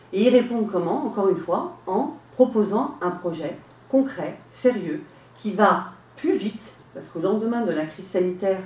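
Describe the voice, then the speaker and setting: Over noticeable background noise, a woman speaks with lively intonation at a moderate pace. Audible room echo surrounds her voice. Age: 50s. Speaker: local election candidate. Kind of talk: radio interview. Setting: radio studio, live.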